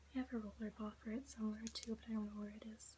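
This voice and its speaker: A woman's voice over noticeable background noise. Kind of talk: casual talk to camera. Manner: whispering, soft-spoken.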